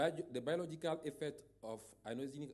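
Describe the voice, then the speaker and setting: A man with a West African French accent and a dark, mellow tone speaks at a moderate pace with fairly even intonation. Room echo is audible. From Togo. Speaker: radiologist and professor. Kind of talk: conference talk. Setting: conference stage. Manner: halting.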